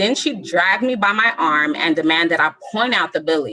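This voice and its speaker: A woman with a Southern Californian accent speaks at a fairly slow pace with a bright, sharp tone and lively intonation. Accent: Southern California American. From Southern California (Lynwood area). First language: Spanish. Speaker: storyteller. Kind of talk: reading aloud.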